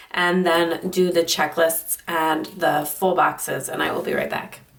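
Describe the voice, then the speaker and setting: A woman with a fairly low pitch speaks at a moderate pace. There is noticeable background noise. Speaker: planner crafting youtuber. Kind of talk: casual chat. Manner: casual, rambling with fillers.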